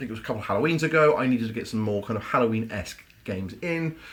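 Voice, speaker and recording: Ordinary pitch variation marks a man's bright, sharp tone. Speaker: podcast co-host. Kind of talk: casual chat. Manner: fast.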